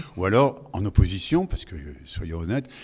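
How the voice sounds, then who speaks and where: A man's fairly low, somewhat breathy voice moves at a fairly quick pace. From Lorraine, France. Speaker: voice actor. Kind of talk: interview answer. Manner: casual, chatty.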